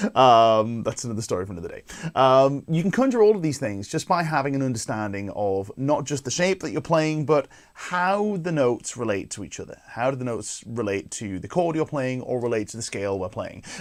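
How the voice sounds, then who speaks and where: Very wide pitch swings mark this man's medium-pitched voice as he moves at a fairly quick pace with hardly any pauses. The recording is very clean, with a silent background. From northeast England. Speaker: guitar teacher and show host. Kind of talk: live-streamed guitar lesson. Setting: live stream to camera. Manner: casual, conversational with filler words.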